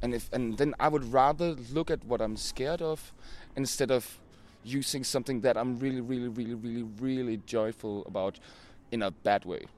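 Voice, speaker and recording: With a Danish accent, a man talks at a medium pitch with ordinary pitch variation on a very clean recording with a silent background. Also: moderate pace. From Denmark. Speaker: band singer. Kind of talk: casual interview. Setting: outdoors.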